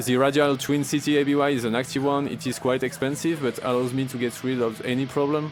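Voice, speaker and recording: Music plays in the background as a man with a French accent talks at a fairly quick pace. His fairly high voice stays monotone, with flat intonation. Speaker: grindcore guitarist. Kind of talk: gear breakdown talk to camera.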